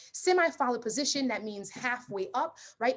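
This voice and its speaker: This woman sounds animated and somewhat breathy. Her pitch swings very widely. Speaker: nurse practitioner and nursing tutor. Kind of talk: lecture. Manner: fast.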